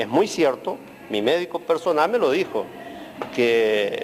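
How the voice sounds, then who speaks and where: The speech unfolds fairly slowly, with noticeable noise in the background. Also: man. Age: 60s. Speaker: emigrant interviewee. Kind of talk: interview.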